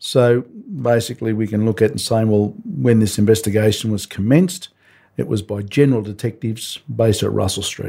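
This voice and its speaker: Breathing somewhat audibly, a man with a dark, mellow tone and a medium pitch talks at a fairly quick pace with ordinary pitch variation in a very clean recording with a silent background. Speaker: retired detective. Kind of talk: interview.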